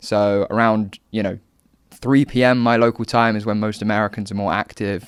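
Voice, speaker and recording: In a southern English accent, a man speaks in a fairly low, monotone voice with flat intonation, on a very clean, dry, close recording with a silent background and no echo. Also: moderate pace. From southern England, Hampshire. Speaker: political commentator and content creator. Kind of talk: podcast interview. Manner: hesitant, many fillers.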